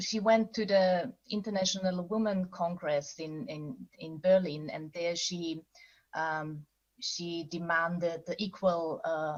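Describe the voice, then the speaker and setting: A woman with fairly low pitch talks at a very slow pace. Her loudness swings widely, with ordinary pitch variation. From Austria. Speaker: novelist. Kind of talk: panel interview. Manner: halting.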